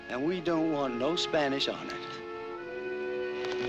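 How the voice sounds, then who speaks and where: A man's voice in a dry sound with no echo, with clear music in the background. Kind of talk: acted drama dialogue. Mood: hostile, confrontational. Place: open country.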